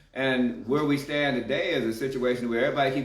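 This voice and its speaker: A man's voice with audible room echo. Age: 60s. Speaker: community activist. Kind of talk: casual chat.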